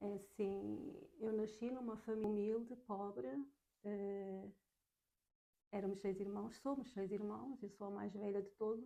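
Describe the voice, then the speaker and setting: A soft-spoken woman's dark, mellow, fairly high voice in a Lisbon accent, at a very slow pace. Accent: European Portuguese (Lisbon). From Portugal, south bank of Lisbon. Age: 40s. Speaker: podcast guest. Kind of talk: interview testimony.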